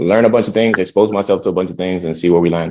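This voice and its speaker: A man with an American accent talks at a very fast pace in a very deep, low voice with a dark, mellow tone. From New York City, from Dominican Republic. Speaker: philanthropy program manager. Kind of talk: interview.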